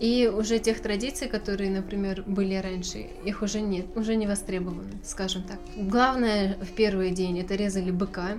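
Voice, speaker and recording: Over noticeable background noise, a woman with a medium pitch speaks at a moderate pace with fairly even intonation and hardly any pauses. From Novosibirsk, Russia. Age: 20s. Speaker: journalism student. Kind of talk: casual interview.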